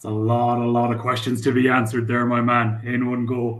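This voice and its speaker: A man with a strong Irish accent at a moderate pace, with audible room echo. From Ireland. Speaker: crypto startup founder. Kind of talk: interview.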